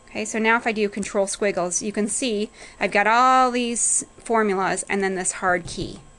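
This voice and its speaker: Fairly even intonation from a woman speaking at medium pitch. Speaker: accounting instructor. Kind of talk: tutorial. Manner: fast.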